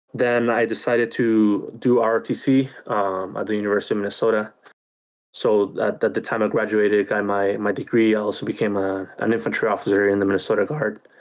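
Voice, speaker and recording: A man with a Spanish accent at a fairly quick pace. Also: fairly low pitch for a man, fairly even intonation. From Chile. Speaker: podcast co-host, army officer. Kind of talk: casual chat. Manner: hesitant, many fillers and repeats.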